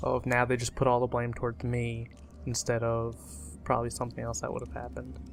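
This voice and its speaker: Mumbling, a man speaks at a very fast pace. His intonation is lively. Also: medium pitch for a man. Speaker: gaming commentator. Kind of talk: let's play commentary. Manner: casual.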